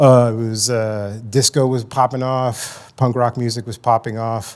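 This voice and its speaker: A man's medium-pitched voice with a slight New York accent, monotone and flat, at a fairly slow pace. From New York City, South Bronx. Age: 40s. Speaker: addiction and mental health counselor, conference presenter. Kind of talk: conference presentation. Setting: stage with audience. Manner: casual, many fillers.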